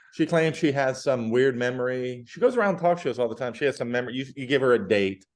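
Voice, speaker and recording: A man's medium-pitched voice at a very fast pace, with hardly any pauses and ordinary pitch variation, against a quiet background. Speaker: podcast host. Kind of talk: casual chat.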